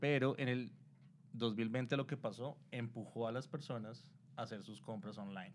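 Medium in pitch, a man talks with a Colombian accent. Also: ordinary pitch variation, moderate pace. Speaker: digital marketing specialist. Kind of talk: interview, explaining. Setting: live stream on Instagram.

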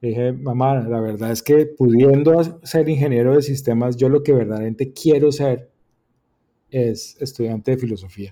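This man has a dark, mellow tone and a medium pitch. He talks at a moderate pace with fairly even intonation. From Colombia, Bucaramanga. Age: 50s. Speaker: philosopher. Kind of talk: casual chat.

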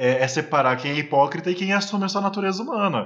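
A man speaks with ordinary pitch variation. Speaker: podcast co-host. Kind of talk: casual discussion. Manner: emotional.

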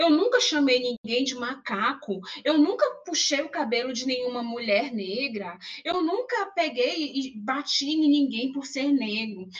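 Over noticeable background noise, a woman with a high pitch talks fairly slowly with lively intonation. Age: 40s. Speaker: university lecturer and public relations professional. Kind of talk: podcast interview.

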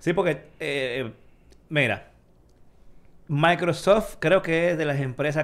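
A man speaks at a very slow pace. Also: very clean recording, silent background. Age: 40s. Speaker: tech podcast host. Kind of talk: casual chat.

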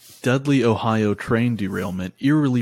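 Speaking at a moderate pace with ordinary pitch variation, a man uses an ordinary speaking voice in a very clean recording where the background is silent. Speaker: podcast host. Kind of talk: casual chat. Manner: laughs often, joking.

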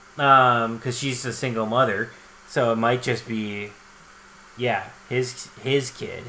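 A man at a very slow pace with monotone, flat intonation and long, frequent pauses, amid noticeable background noise and audible room echo. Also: medium pitch for a man. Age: 30s. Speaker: podcast co-host. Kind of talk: casual chat.

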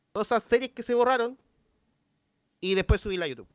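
Dry and close with no echo, the woman's voice is heard. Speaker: streamer and podcast co-host. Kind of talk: casual chat.

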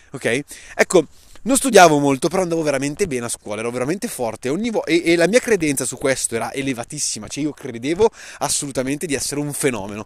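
Very fast and animated, a man talks at medium pitch with lively intonation. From northern Italy, Lombardy (Saronno). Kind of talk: motivational monologue.

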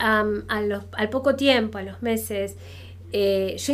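A woman with an Argentine accent. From Argentina. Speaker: university professor. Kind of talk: casual interview.

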